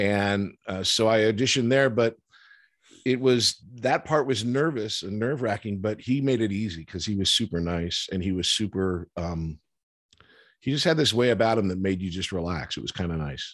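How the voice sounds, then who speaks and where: A plain, everyday voice moves at a moderate pace with lively intonation. The background is quiet. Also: man, fairly low pitch for a man. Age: 50s. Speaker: actor and TV writer. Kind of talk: casual chat.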